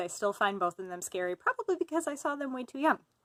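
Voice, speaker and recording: In a very clean recording with a silent background, a woman with an Upper Midwest accent sounds dry and close, with no echo. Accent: Upper Midwest, like Fargo. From US Midwest (Fargo area, North Dakota). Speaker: writer. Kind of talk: casual self-introduction monologue. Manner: casual with fillers.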